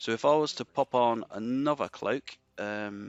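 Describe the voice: A man speaks at medium pitch with a clear, smooth tone and ordinary pitch variation. His fairly slow delivery has a dry, close sound with no echo.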